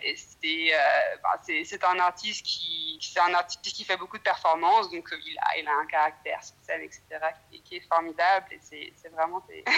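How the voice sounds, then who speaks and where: A woman's voice rises and falls widely in loudness. Background noise is noticeable. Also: moderate pace. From France. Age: young. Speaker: researcher. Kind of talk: casual chat. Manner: halting.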